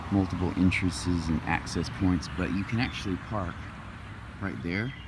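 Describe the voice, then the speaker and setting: A man speaks quietly with a very deep, low pitch. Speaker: vlogger. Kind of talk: walking tour vlog. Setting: outdoors in a park. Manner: quiet, talking low.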